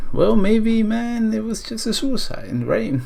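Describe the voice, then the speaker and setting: Animated in tone, a man speaks in a somewhat breathy voice. Audible room echo surrounds the sound. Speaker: YouTuber, storyteller. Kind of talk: storytelling vlog. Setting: talking to camera. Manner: casual, animated.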